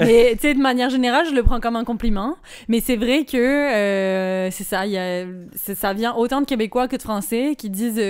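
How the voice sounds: Pitched fairly high, a woman's voice moves at a moderate pace with ordinary pitch variation.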